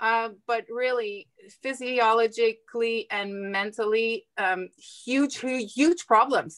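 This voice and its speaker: This woman's voice sits fairly high, with ordinary pitch variation. She talks at a very slow pace, and the sound is dry and close with no echo. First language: not English. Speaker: nurse. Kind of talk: interview. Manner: halting.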